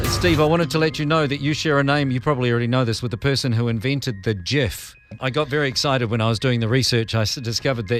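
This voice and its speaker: Speaking very fast in a New Zealand accent, a man keeps a medium pitch with ordinary variation. Music plays behind him. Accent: Kiwi. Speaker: radio host and podcast host. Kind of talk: podcast interview.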